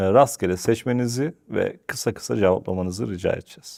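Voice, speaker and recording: A fairly low-pitched man with an ordinary speaking voice talks at a moderate pace with ordinary pitch variation. The recording is very clean, with a silent background. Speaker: interview show host. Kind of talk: interview. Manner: formal.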